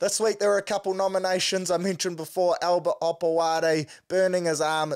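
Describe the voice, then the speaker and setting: This is a man speaking with a New Zealand accent. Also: quiet background. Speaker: sports podcast host. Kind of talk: casual sports talk. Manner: animated. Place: home room. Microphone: studio mic.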